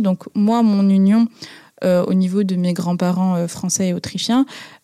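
A woman with a dark, mellow tone speaks at medium pitch and a fairly slow pace, her intonation fairly even and the sound dry and close with no echo. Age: 20s. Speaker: interviewee sharing personal story. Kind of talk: personal testimony. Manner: hesitant, some fillers.

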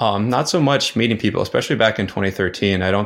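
In a very clean recording with a silent background, a man with a Midwestern American accent speaks at a very fast pace. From US Midwest, North Dakota. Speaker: travel blogger. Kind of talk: casual interview chat.

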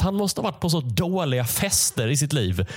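Very wide pitch swings mark a man's somewhat breathy, fairly high-pitched voice at a moderate pace. The recording is very clean, with a silent background. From Sweden, Malmö/Skåne. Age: 20s. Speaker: comedian. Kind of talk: casual solo monologue. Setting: home basement. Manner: halting.

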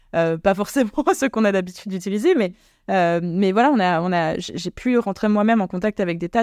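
At a fairly quick pace, a woman talks with a medium pitch, ordinary pitch variation and a dark, mellow tone, in a very clean, dry, close recording with a silent background and no echo. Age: 30s. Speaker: political party leader. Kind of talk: interview. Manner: halting, many fillers and repetitions.

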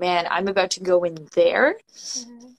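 The speaker is a woman talking at a moderate pace. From Latin American family background. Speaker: artist and death doula. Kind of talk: casual chat. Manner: animated.

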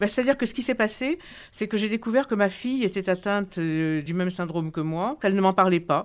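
This is a plain, everyday voice. It moves at a fairly quick pace with lively intonation. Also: woman. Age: 60s. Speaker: patient. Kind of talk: testimony.

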